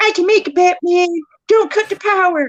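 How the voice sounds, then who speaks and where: Pitched extremely high, a put-on character voice speaks at a moderate pace with a whiny tone. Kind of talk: put-on voice. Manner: exaggerated, whiny.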